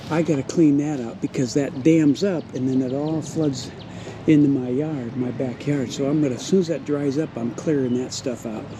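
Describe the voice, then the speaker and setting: A man's fairly high-pitched voice at a moderate pace with fairly even intonation, over noticeable background noise. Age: 60s. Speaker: vlogger. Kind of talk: casual vlog walkthrough. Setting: outdoors. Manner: conversational, rambling walk-and-talk.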